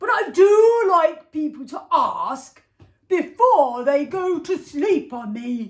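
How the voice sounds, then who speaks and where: In a put-on character voice, a woman speaks very slowly at an extremely high pitch, her pitch swinging very widely. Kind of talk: bedtime story. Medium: read story. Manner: mock-pompous.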